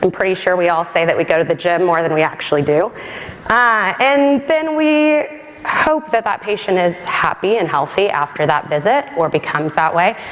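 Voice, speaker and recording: Over noticeable background noise, a woman with an American accent speaks at a moderate pace. Her pitch swings very widely while her loudness stays very even. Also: medium pitch for a woman. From Texas. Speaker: government science policy advisor. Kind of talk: conference talk.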